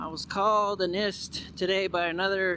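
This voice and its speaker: In a raised, projected voice, a man speaks in a flat monotone, his pitch high and his tone bright and sharp. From Mexican American, USA. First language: Spanish. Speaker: vlogger. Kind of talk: casual vlog monologue. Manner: halting, with repeated words.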